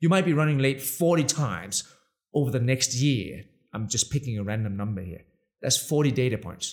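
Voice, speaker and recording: With a Danish accent, a man speaks in an animated tone with lively intonation. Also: medium pitch for a man. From Denmark. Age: 40s. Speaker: tech entrepreneur. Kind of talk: interview.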